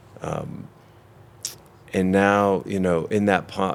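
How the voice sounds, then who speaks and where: His voice sits very deep and low. The man talks fairly slowly. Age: 60s. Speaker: physician and institute founder. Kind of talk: interview. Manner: halting.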